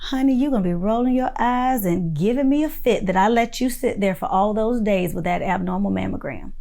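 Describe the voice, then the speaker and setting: Speaking with a Florida accent, a woman with a fairly high pitch sounds animated, using lively intonation and hardly any pauses amid audible room echo. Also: fairly quick pace. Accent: Winter Haven Florida. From Florida (Winter Haven). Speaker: direct primary care physician teaching a course. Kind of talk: online course lecture.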